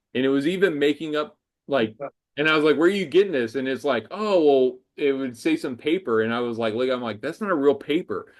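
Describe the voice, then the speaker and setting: Against a quiet background, a man with a plain, everyday voice talks at a fairly quick pace, his fairly high pitch showing ordinary variation. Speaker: amateur astronomer presenter. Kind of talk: Q&A after presentation. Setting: video call.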